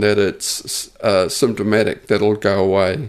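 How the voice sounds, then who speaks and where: A man with an Australian accent speaks at a very slow pace. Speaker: injured worker sharing personal story. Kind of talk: personal testimony. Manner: stuttery, halting.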